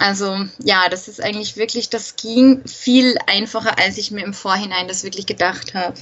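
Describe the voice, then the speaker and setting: Through noticeable background noise, a woman at medium pitch speaks at a moderate pace with hardly any pauses, fairly even intonation, and big swings in loudness. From Austria. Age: 20s. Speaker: travel blogger, former nurse. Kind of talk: interview.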